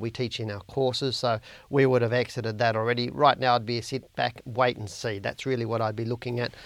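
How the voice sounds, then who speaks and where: This man's medium-pitched voice moves at a fairly quick pace with flat, monotone intonation. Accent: Australian. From Australia. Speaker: stock market analyst and educator. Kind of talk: market analysis video report. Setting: online video recording. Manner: informal, friendly.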